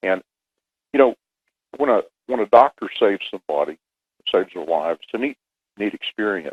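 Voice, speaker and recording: Heard in a dry, close sound with no echo, a man speaks at a fairly quick pace. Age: 60s. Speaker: pilot and relief worker. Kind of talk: radio interview. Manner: halting with many fillers.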